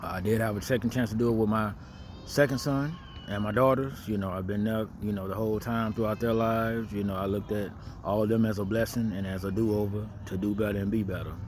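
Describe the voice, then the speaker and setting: At a very fast pace, a man with a fairly low voice speaks in fairly even intonation. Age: 40s. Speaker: vlogger sharing life advice. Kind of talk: casual monologue. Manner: conversational, many filler words.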